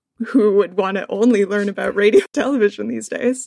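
This woman has a medium-pitched voice. She speaks with a Canadian accent. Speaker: media producer and PhD researcher. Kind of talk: casual interview chat. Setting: video call.

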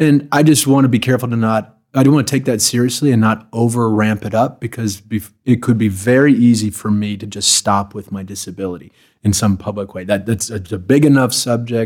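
In a very clean recording with a silent background, a man with an American accent uses a plain, everyday voice at a medium pitch, speaking at a fairly quick pace with ordinary pitch variation. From US Midwest, Chicago. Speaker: palliative care doctor. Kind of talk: casual chat. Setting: in person, Marin California.

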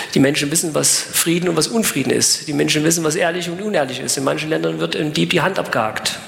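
A man speaks very fast with hardly any pauses, over noticeable background noise and audible room echo. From eastern Germany (former GDR). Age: 40s. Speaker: evangelist, former prisoner. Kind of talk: evangelistic sermon with personal testimony. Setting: live event with audience.

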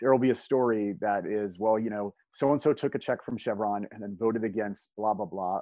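A normal speaking voice from a man at medium pitch. He talks at a fairly quick pace with ordinary pitch variation. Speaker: former state legislator. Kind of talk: casual conversational podcast chat. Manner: joking, humorous, storytelling.

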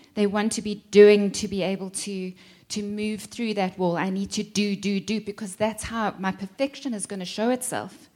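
A woman speaks at a moderate pace in a dark, mellow tone. Her intonation is monotone and flat. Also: medium pitch for a woman. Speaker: teacher of enneagram.

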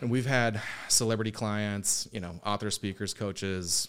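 Here a man with an American accent speaks in a plain, everyday voice. His pitch is fairly low and his pace moderate. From US, military family (various places). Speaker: digital marketing agency owner. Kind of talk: casual interview.

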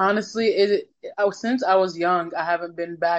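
A woman of medium pitch at a moderate pace, with ordinary pitch variation. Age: 20s. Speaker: singer-songwriter. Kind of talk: casual interview. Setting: phone call.

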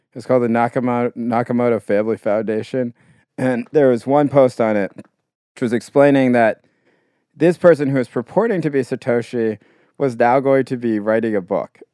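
In a dry, close sound with no echo, a man speaks at medium pitch and a moderate pace, dark and mellow in tone with fairly even intonation. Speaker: podcast co-host. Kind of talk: casual chat.

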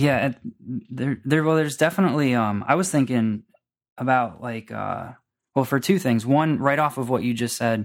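A man with an American accent and a normal speaking voice, at a moderate pace with ordinary pitch variation, on a very clean recording with a silent background. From Florida. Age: 20s. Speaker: podcaster and internet marketer. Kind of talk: casual chat.

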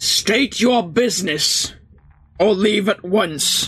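Using a put-on character voice, a man speaks high in pitch and at a very slow pace. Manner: curt, commanding.

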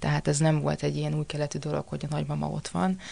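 This is a woman's voice. She talks at a very fast pace. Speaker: actress. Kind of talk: casual chat.

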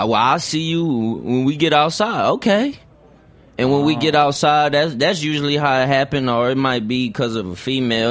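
Here a man with an American accent has a plain, everyday voice at medium pitch and lively intonation. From San Antonio, Texas. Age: 20s. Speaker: rapper. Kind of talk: casual interview. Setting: studio.

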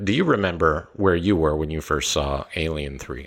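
A man at a moderate pace, very deep and low in pitch, with fairly even intonation. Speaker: film podcast host. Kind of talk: casual film discussion podcast.

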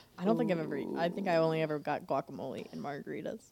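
Noticeable background noise sits behind a woman talking at a very fast pace. Her pitch is fairly low, with ordinary variation. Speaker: podcast co-host. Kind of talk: casual chat. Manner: jokey, laughs often.

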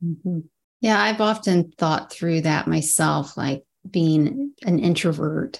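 A fairly low-pitched woman's voice, very slow in pace, with lively intonation. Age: 40s. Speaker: podcast host. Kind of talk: interview conversation. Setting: video call.

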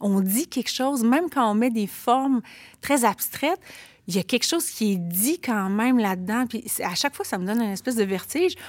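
A woman's fairly high voice, an ordinary speaking voice, with lively intonation at a fairly quick pace. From Quebec City, Limoilou. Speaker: author and teacher. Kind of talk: casual chat.

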